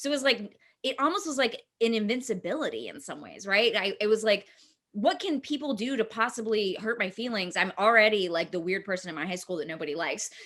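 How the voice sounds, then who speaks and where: A woman with an American accent has an ordinary speaking voice at a fairly high pitch. She talks at a fairly quick pace with lively intonation. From East Texas. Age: 30s. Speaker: filmmaker and actor. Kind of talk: casual interview. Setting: video call.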